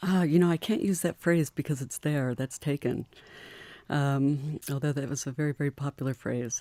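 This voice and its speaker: The voice has a dark, mellow tone and an American accent. It sounds dry and close, with no echo. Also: woman, very deep, low pitch for a woman, ordinary pitch variation, moderate pace. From US Midwest, Michigan. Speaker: mountaineer. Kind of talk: radio interview. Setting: radio studio.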